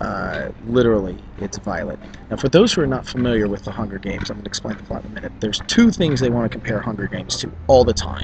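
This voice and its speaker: Over noticeable background noise, a man speaks at a very fast pace with big swings in loudness. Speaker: YouTuber. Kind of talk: casual vlog commentary. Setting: bookstore, public place. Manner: quieter than usual.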